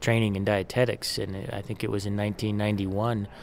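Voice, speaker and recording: Speaking at a moderate pace, the man keeps a monotone, flat intonation. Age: 40s. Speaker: nutrition and exercise professor. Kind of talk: interview. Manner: repeats words, some hesitation.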